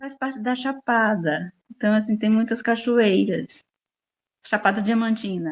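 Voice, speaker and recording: In a normal speaking voice, a woman talks at a fairly high pitch and a fairly slow pace with ordinary pitch variation, in a dry, close sound with no echo. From Brazil, Bahia (rural interior). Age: 60s. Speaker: farmer and interviewee. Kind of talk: interview.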